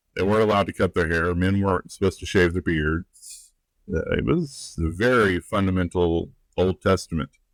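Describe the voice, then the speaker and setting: With a Southern US accent, a man talks at a fairly quick pace in a very deep, low voice with ordinary pitch variation, on a very clean recording with a silent background and a dry, close sound with no echo. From US South, rural. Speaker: life and relationships coach. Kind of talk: podcast interview. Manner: conversational, with filler words.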